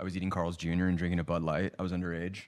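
The speaker has an American accent and talks at a very fast pace. The recording is very clean with a silent background. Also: man. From Los Angeles, US. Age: 30s. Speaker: TV writer-producer, former college football player. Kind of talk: casual chat.

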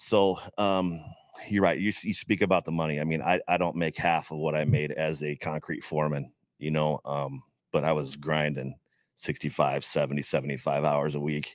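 A man with a very deep, low voice and vocal fry talks at a moderate pace with fairly even intonation. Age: 40s. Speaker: ring announcer. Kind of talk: casual chat.

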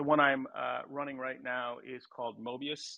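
A man talks at a moderate pace. He has a normal speaking voice at medium pitch. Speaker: tech entrepreneur. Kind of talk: panel discussion. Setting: live audio chat room.

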